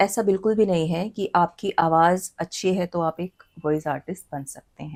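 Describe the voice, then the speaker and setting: A woman speaks in a plain, everyday voice with a fairly low pitch. Her loudness swings widely, while her pitch varies in an ordinary way. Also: dry, close sound with no echo. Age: 30s. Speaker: anchor and voice dubbing artist. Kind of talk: interview answer.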